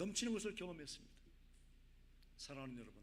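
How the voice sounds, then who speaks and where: Raising and projecting his voice, a man sounds bright and sharp as his pitch swings very widely. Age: 60s. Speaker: missionary. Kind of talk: sermon.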